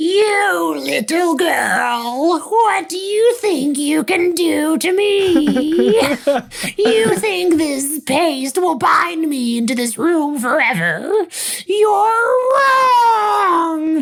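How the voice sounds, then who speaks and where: A put-on character voice, guttural and extremely high-pitched, drags along at a very slow pace. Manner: menacing, taunting.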